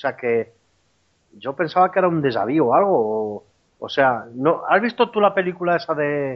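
Very wide pitch swings run through a man's speech. He goes at a fairly slow pace with long, frequent pauses. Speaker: former soldier sharing a paranormal experience. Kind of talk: testimony. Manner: halting, many repetitions.

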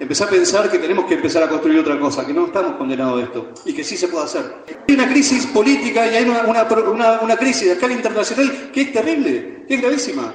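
Very fast delivery with very wide pitch swings, noticeable background noise and audible room echo. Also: man. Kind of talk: speech.

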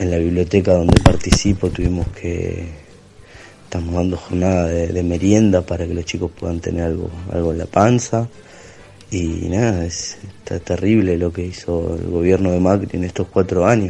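Over noticeable background noise, a man with a Rioplatense accent speaks in a very deep, low voice with monotone, flat intonation. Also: moderate pace. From Argentina, Avellaneda (Greater Buenos Aires). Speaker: community library volunteer. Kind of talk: voice message.

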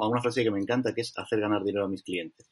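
Dry and close with no echo, the voice holds a fairly even intonation. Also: man. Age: 20s. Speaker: digital marketing director. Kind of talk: interview.

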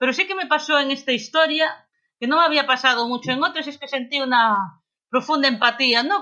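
A woman speaks in a raised, projected voice with a high pitch and a bright, sharp tone. Her pace is moderate, with ordinary pitch variation and a quiet background. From Galicia, Spain (Lugo). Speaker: novelist. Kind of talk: interview.

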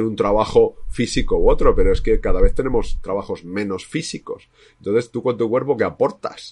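Here a man is talking. The background is quiet. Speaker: psychologist, podcast co-host. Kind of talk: casual discussion.

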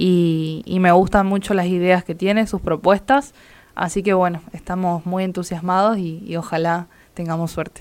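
The recording is very clean, with a silent background. A woman with a plain, everyday voice speaks at a medium pitch with fairly even intonation. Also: moderate pace. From Argentina, Entre Ríos. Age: 20s. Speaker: local political candidate. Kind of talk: interview.

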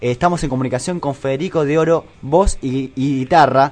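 A man's plain, everyday voice, fairly high in pitch, at a fairly quick pace with ordinary pitch variation and hardly any pauses. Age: 20s. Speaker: radio host. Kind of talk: radio interview.

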